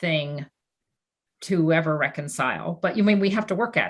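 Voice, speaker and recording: A woman talks at a moderate pace with a fairly low pitch and ordinary pitch variation. It is a plain, everyday voice. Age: 60s. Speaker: former finance executive, philanthropist. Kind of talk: panel discussion. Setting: video call.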